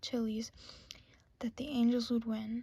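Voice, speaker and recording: A soft-spoken woman's fairly high voice, monotone and flat in intonation. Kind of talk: ASMR book reading of trivia facts.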